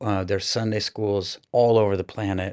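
Speaking in a Midwestern US accent at a fairly quick pace, a man with a fairly low pitch keeps a monotone, flat intonation in a very clean recording with a silent background. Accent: General American, Midwestern. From US Midwest, Iowa (Des Moines). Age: 40s. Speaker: children's minister. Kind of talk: interview testimony. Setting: studio at a conference.

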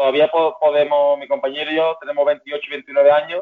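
A man with a fairly high pitch at a moderate pace. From Seville, Spain. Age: 20s. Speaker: Olympic rower. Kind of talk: interview.

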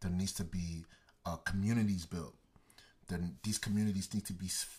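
A man's fairly low, somewhat breathy voice keeps a fairly even intonation. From Texas, Dallas (Garland). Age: 20s. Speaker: creative entrepreneur. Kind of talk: casual interview.

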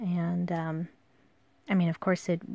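A somewhat breathy voice at a fairly slow pace, in a dry, close sound with no echo. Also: woman. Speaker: podcast host and calligraphy artist. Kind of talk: casual solo monologue. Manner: hesitant, many fillers.

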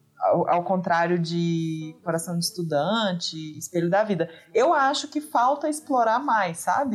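A woman talks at a fairly slow pace with a medium pitch. Her pitch swings very widely while her loudness stays very even. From Minas Gerais, Brazil. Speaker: podcast guest. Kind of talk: casual chat.

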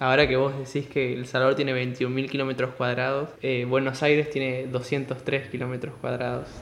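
Noticeable background noise lies under a man's voice with a Rioplatense accent. He keeps a medium pitch, a moderate pace and flat, monotone intonation. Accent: Argentine Spanish (rioplatense). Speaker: podcast host. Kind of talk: interview. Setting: call.

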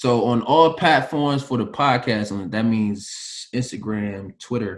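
A man speaks at a medium pitch with ordinary pitch variation. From US Mid-Atlantic, PG County, Maryland. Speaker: former pro basketball player. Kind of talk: casual chat. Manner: laid-back, conversational.

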